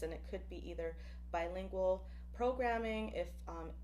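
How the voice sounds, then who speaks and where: The speech unfolds at a fairly slow pace within audible room echo. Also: woman. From Buffalo, New York and Puerto Rico. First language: Spanish. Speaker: professor. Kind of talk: presentation.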